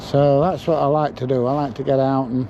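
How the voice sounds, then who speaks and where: A man's medium-pitched voice, dark and mellow in tone, at a fairly slow pace. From England. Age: 60s. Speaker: YouTuber filming in public. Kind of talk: casual reaction commentary; casual chat.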